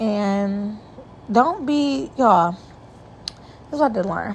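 Speaking at a very slow pace, a woman has a medium pitch and ordinary pitch variation. Her voice is somewhat breathy. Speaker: solo podcast host. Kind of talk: casual monologue. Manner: animated.

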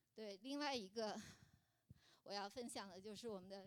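The speaker is a woman with a medium pitch. Her pace is moderate, and her pitch varies in an ordinary way. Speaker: churchgoer sharing as a mother. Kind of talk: testimony. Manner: halting.

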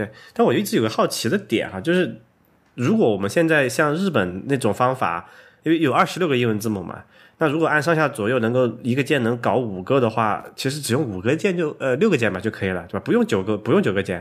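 A man with a slight Sichuan accent talks at a very fast pace with very wide pitch swings, in a very clean recording with a silent background. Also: medium pitch for a man. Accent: slight Sichuan-accented Mandarin. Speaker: programmer and tech podcast host. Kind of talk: casual chat.

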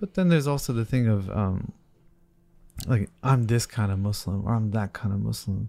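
On a very clean recording with a silent background, a man talks at a fairly low pitch in a dark, mellow tone with ordinary pitch variation. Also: moderate pace. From New Jersey. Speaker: podcast host. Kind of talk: interview.

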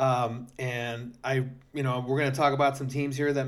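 At medium pitch, a man talks in an unremarkable speaking voice. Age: 40s. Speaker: podcast host and amateur flag football player. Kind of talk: casual sports talk.

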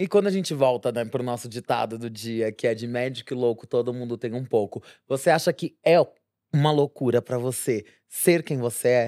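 Speaking with a Brazilian accent, a woman has a very deep, low pitch and a dark, mellow tone at a fairly quick pace. The recording is very clean with a silent background, dry and close with no echo. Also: ordinary pitch variation. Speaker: podcast co-host, nurse. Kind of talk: casual chat.

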